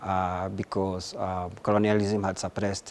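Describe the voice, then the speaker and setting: In a Kenyan accent, a man speaks with a fairly low pitch and monotone, flat intonation. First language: Gikuyu. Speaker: researcher and writer. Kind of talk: interview answers. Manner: halting, many repetitions and fillers.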